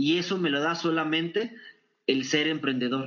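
The delivery has an energetic tone at a fairly slow pace. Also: man. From northern Mexico (Torreón, Coahuila). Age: 40s. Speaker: business consultant and speaker. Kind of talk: interview.

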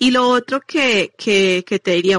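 In an unremarkable speaking voice, the speaker talks at a fairly slow pace with ordinary pitch variation, the sound dry and close with no echo against a quiet background. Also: woman. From Medellín, Colombia. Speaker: nutrition coach. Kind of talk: interview.

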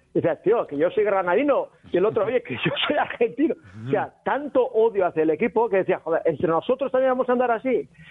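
Background noise is noticeable. Speech runs at a very fast pace with very wide pitch swings. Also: man, extremely high pitch for a man. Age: 50s. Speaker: reality show contestant. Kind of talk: casual chat.

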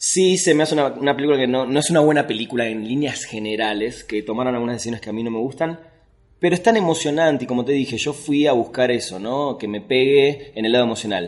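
Words pour out very fast from a man whose medium-pitched voice shows ordinary pitch variation. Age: 40s. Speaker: film critic and writer. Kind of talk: casual chat.

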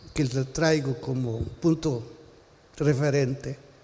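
In a Salvadoran accent, a man speaks at a very slow pace. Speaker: pastor. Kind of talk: sermon.

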